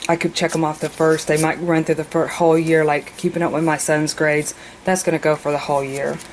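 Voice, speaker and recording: A woman speaks at a very fast pace with a very deep, low pitch. Her intonation is monotone and flat, with noticeable background noise. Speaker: mother. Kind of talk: casual planner walkthrough to camera.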